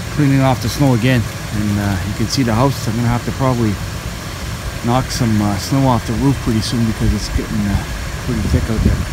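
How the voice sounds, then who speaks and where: A man at a fairly quick pace, dry sound with no echo, loud background noise behind him. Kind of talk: casual vlog chat. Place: street. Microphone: phone near.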